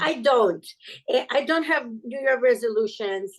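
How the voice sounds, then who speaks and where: In a non-native accent, a woman speaks at a high pitch. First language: not English. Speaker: podcast guest. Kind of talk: casual interview chat. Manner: halting, with many fillers.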